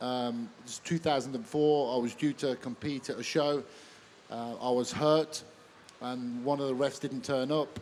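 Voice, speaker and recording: In a Birmingham accent, a man speaks at a medium pitch and moderate pace with fairly even intonation. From Birmingham, England. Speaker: MMA referee. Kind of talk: live stage interview. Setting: stage with audience at expo.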